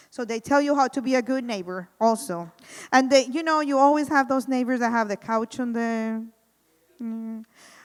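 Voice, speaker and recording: In a strong Spanish accent, a high-pitched woman speaks at a moderate pace with ordinary pitch variation, in a very clean recording with a silent background. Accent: thick Spanish. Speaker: housing program coordinator. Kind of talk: community presentation.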